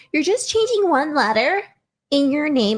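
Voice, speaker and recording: A woman uses a put-on character voice with a high pitch, very wide pitch swings, and a moderate pace. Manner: incredulous, teasing.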